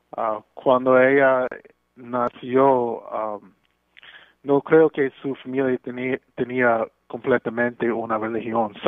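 A man in an English accent speaks very slowly with monotone, flat intonation. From Brooklyn, New York. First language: English (speaking Spanish). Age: 40s. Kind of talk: radio interview. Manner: halting.

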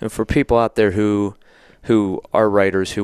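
In an ordinary speaking voice, a man with an American accent talks at a fairly quick pace, his pitch fairly low and his intonation fairly even, the sound dry and close with no echo over a quiet background. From Somerset, Pennsylvania. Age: 40s. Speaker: newspaper podcast host. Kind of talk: interview.

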